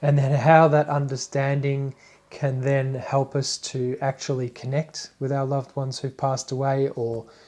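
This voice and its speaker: The recording is very clean and the background silent as a speaker talks with an Australian accent. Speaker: spiritual teacher. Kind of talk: live stream talk. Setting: live Facebook broadcast. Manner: casual, hesitant with fillers.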